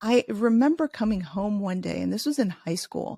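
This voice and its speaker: The voice is dark and mellow and somewhat breathy, with lively intonation at a moderate pace, in a very clean, dry, close recording with a silent background and no echo. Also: woman. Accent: American. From US Midwest, Chicago. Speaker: leadership author. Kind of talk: interview.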